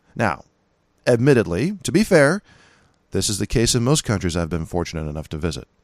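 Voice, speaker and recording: A man with a Californian accent speaks at a fairly quick pace and fairly low pitch, with very wide pitch swings and long, frequent pauses. The recording is very clean and dry, with a close sound, no echo and a silent background. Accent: Californian American. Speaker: podcast host, gun rights commentator. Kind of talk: monologue podcast commentary. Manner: casual, conversational.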